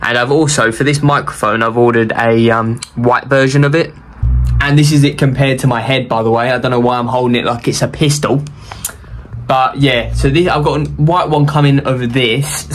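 Over music in the background, a man speaks at a moderate pace with fairly even intonation and very even loudness. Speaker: youtuber. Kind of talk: casual vlog chat. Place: home room. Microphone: phone near.

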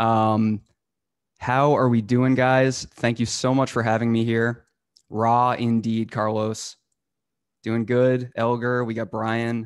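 With an American accent, a man speaks very slowly in a medium pitch and a monotone, flat intonation against a quiet background. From northern Massachusetts. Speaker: cybersecurity instructor. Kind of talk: live hands-on tutorial. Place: home room. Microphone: studio mic.

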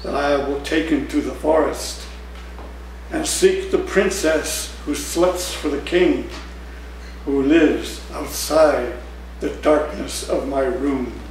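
A man talks at a very slow pace, with audible room echo and light background noise. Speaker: poet. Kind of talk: poetry reading, performed poem with dark menacing narration. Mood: warm, smiling, expressive. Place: cafe. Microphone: camera far.

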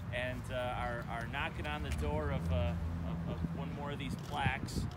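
A man speaks at a fairly slow pace over loud background noise. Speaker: university athletic director. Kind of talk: ceremony speech. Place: open country.

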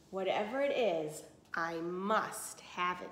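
A growling, put-on character voice, female-sounding, at a medium pitch for a woman and a fairly slow pace.

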